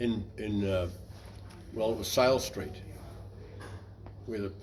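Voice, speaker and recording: Audible room echo surrounds a man whose fairly low voice keeps a fairly even intonation. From New Zealand, West Coast. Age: 80s+. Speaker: navy veteran. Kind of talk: interview.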